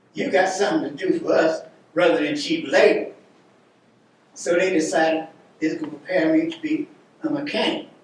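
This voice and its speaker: Amid noticeable background noise, a man with an American accent talks at a moderate pace and a high pitch, with very wide pitch swings and long, frequent pauses. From Cincinnati, US Midwest. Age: 90s. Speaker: war veteran. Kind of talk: testimony.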